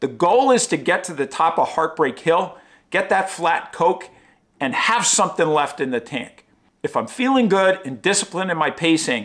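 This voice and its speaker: A man's intonation is lively, and the background around him is quiet. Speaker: running vlogger. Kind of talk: casual vlog chat. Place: home room.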